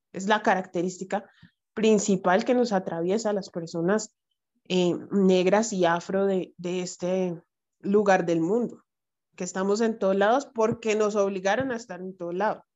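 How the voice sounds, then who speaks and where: A woman's fairly slow speech with a strong Bogotá accent. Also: medium pitch for a woman, fairly even intonation. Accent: strong Bogotá Colombian Spanish. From Colombia, Bogotá. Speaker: writer and anti-racist educator. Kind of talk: casual chat.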